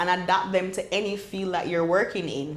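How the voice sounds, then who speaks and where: A woman talks with a Jamaican accent. Noticeable background noise and audible room echo surround her voice. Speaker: medical doctor and entrepreneur. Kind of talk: podcast interview. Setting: in-person recording on a campus in Jamaica.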